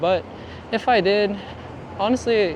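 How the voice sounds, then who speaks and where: A man mumbles at a fairly slow pace. Noticeable background noise runs behind him. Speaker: photographer and vlogger. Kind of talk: casual vlog talk. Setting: walking outdoors in downtown. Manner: mumbling; relaxed, halting.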